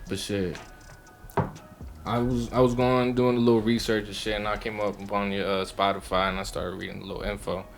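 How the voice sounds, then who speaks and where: Music plays in the background. The speaker talks at a fairly quick pace with a Baltimore accent. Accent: Baltimore urban American English. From Mexico. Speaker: podcast host. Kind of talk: casual chat.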